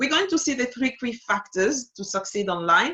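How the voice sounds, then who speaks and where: With a French accent, a woman speaks in a bright, sharp tone. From Togo (Lomé). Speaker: digital strategist. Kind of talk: webinar masterclass. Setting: online webinar. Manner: hesitant with frequent fillers.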